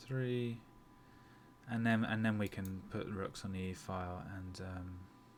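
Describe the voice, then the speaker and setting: Audible room echo surrounds a man whose very deep, low pitch carries fairly even intonation. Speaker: chess streamer. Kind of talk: live chess commentary and game review. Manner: halting, many fillers and repetitions; fast.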